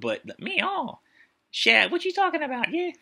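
Someone performs a put-on character voice at an extremely high pitch. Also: fairly slow pace. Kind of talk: casual vlog chat.

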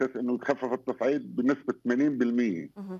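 The intonation is lively. The sound is dry with no echo, over a quiet background. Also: man. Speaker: political writer. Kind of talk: TV news interview. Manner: halting, many filler sounds. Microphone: video call.

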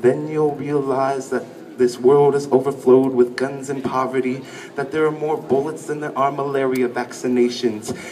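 A man at a moderate pace, fairly even intonation, and light background noise. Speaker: spoken word poet. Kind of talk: spoken word poetry performance. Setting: live stage, audience. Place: stage.

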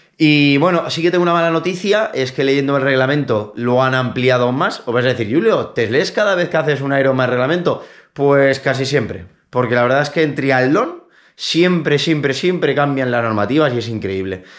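A man with an unremarkable speaking voice talks at a moderate pace and a fairly high pitch, his intonation lively and his loudness very even against a quiet background. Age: 30s. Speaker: triathlete YouTuber; triathlete vlogger. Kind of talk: casual vlog. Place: home room. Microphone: phone near.

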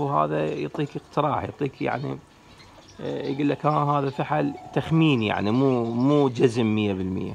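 Light background noise runs under the clip. A man speaks with lively intonation. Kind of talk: casual tutorial talk.

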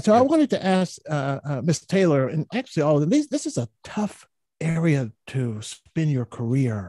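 Against a quiet background with a dry, echo-free sound, a man speaks at a moderate pace in a fairly high pitch, his dark, mellow tone somewhat breathy and his pitch swinging very widely. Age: old. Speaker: public health professor, co-host. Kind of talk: panel talk show. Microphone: studio mic.

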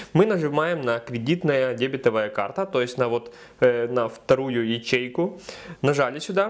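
With lively intonation, a man talks against a quiet backdrop. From Ukraine. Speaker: video blogger giving crypto tutorials. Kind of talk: tutorial. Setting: screen recording voiceover.

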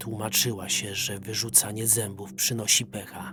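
Music plays in the background while the voice moves at a moderate pace. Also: man. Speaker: voice-over reader. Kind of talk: horror story narration.

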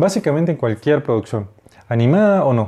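Against a quiet background, a man talks at a fairly quick pace with lively intonation, a fairly high pitch and a dark, mellow tone. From Venezuela, Mérida; Venezuela. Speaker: animator and graphic designer. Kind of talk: lecture. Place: home room. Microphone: lapel.

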